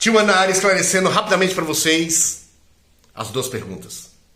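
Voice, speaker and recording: Noticeable background noise fills the recording. Through it, a man speaks. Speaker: Candomblé priest and diviner. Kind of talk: live-stream teaching. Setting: live stream.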